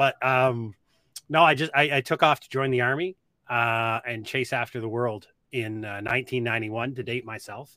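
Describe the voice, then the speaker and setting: A man with a Nova Scotia accent at a moderate pace, bright and sharp in tone, with big swings in loudness, in a dry, close sound with no echo and a very clean recording with a silent background. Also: medium pitch for a man. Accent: Nova Scotia Canadian English. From Nova Scotia, Canada. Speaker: army veteran and preparedness educator. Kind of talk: podcast interview.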